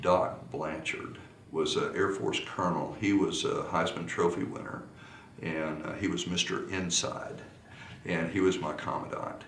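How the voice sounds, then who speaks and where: Speaking at a fairly slow pace, the voice carries an American accent. Noticeable background noise and audible room echo surround it. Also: man. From Texas. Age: 60s. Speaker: polo coach. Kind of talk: interview. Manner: halting.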